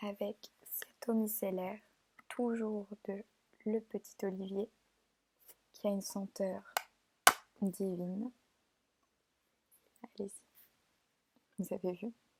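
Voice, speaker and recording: A soft-spoken woman with a gentle, dark, mellow tone, somewhat breathy, at a medium pitch and very slow pace, with monotone, flat intonation, long, frequent pauses and a dry, close sound with no echo. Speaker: beautician roleplay. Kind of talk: ASMR roleplay. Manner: soft-spoken, gentle.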